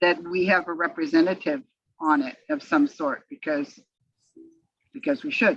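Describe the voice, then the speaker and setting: This woman's medium-pitched voice makes very wide pitch swings, moving at a moderate pace with long, frequent pauses. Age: 70s. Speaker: council member. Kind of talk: meeting discussion. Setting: video call. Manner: halting.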